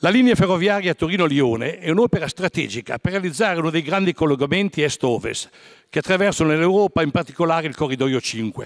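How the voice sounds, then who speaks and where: A man talks at a very fast pace with lively intonation. His pitch is high, and the background is quiet. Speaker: member of parliament. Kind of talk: parliamentary question reading. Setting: parliament chamber. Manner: formal, reading-style. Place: hall. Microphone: podium.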